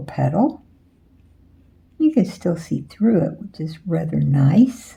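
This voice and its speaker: A soft-spoken woman at a fairly slow pace. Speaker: painting tutor. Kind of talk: tutorial. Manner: casual.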